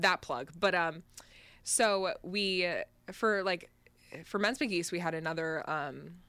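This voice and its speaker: Heard in a very clean recording with a silent background, a woman with an American accent has a normal speaking voice, fairly low pitch and ordinary pitch variation. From Connecticut. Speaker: college student, band trombonist. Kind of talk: casual chat.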